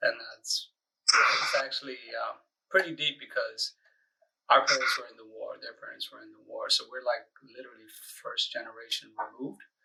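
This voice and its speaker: A voice with an American accent at a moderate pace, big swings in loudness and long, frequent pauses. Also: man. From US, Eritrean family. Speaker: podcast guest. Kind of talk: casual interview.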